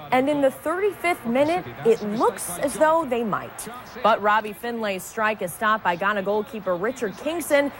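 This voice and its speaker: A woman's fairly high voice at a moderate pace, pitch swinging very widely, over noticeable background noise. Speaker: news anchor / reporter. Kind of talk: sports news segment.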